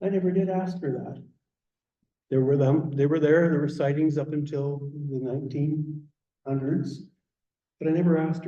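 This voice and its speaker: A man with a Canadian accent speaks at a moderate pace in a fairly high voice for a man, with long, frequent pauses and audible room echo. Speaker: garden naturalist speaker. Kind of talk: public talk. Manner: animated.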